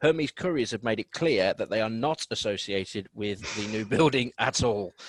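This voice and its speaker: A man with a Birmingham accent, medium pitch, ordinary pitch variation and a moderate pace, in a dry, close sound with no echo. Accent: Birmingham (Brummie). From Birmingham, England. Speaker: radio host. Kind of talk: radio news chat.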